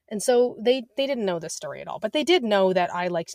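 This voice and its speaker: With an unremarkable speaking voice, a woman talks at a fairly quick pace with ordinary pitch variation, the sound dry and close with no echo. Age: 30s. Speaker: cookbook author and entrepreneur. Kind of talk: casual chat.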